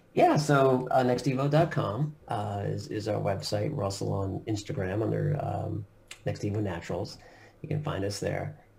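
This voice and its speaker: A man with an American accent, fairly low pitch, vocal fry and lively intonation, heard with audible room echo. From US Northeast, Long Island, New York. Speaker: company CEO. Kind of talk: interview.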